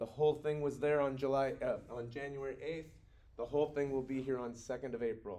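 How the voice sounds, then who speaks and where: Audible room echo surrounds a man's medium-pitched voice with a dark, mellow tone. He moves at a fairly quick pace with fairly even intonation. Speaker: university professor. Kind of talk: recorded lecture. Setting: recorded video for students. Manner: fast.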